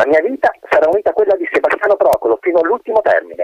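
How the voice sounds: Here a natural reading voice can be heard.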